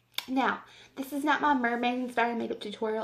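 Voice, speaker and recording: A woman with an American accent speaks in a high pitch with fairly even intonation. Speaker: beauty vlogger. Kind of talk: makeup tutorial. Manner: casual, rambling with fillers.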